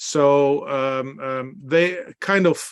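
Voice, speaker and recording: Over a quiet background, a man speaks at a fairly high pitch. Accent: Dutch. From Netherlands. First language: Dutch. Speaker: beer expert and workshop presenter. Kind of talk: online presentation. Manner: halting, many fillers.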